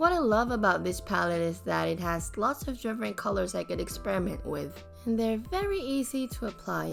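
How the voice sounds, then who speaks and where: A woman speaks at a moderate pace. Background music accompanies her. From Philippines. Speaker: beauty vlogger. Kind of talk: casual talk to camera.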